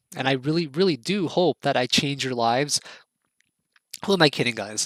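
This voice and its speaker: An animated man's voice, fairly high in pitch with ordinary pitch variation, dry and close with no echo, on a very clean recording with a silent background. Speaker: trading teacher. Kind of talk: tutorial.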